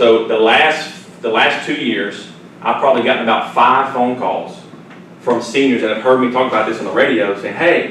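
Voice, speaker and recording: A man with a Southern US accent talks at a moderate pace and medium pitch, with ordinary pitch variation. There is noticeable background noise and audible room echo. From Louisiana, near Baton Rouge. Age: 30s. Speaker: financial advisor and radio host. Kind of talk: seminar presentation with Q&A. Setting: seminar room with audience. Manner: conversational, repetitive false starts.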